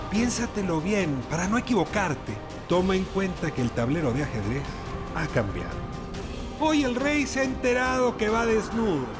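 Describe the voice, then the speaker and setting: Over music in the background, a man talks in a high pitch at a moderate pace. His pitch swings very widely while his loudness stays very even. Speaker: TV host. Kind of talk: TV show opening monologue.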